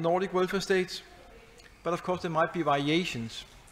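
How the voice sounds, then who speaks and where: A man with a Danish accent speaks at a high pitch. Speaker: professor. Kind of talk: lecture. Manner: fast.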